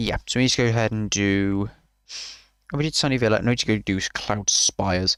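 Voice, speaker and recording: At a very fast pace, the man speaks with ordinary pitch variation. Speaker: gaming streamer. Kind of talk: live gameplay commentary. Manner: casual, hesitant with fillers.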